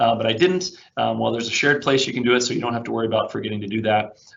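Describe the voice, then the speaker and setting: A man's voice carries audible room echo. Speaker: IT consultant presenting a webinar. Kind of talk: webinar presentation and software demo. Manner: fast; frequent fillers (um, uh).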